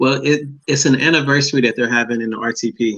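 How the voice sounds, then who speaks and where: A man with an unremarkable speaking voice, fairly even intonation and a fairly quick pace. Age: young. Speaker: comedian and children's book author. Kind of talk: interview.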